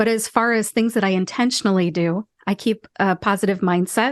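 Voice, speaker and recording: With an American accent, a woman speaks in an ordinary speaking voice at a fairly high pitch and moderate pace, with ordinary pitch variation, a dry, close sound with no echo, and a quiet background. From Ohio, USA. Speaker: pharmacist and voice actor. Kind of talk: podcast interview answer.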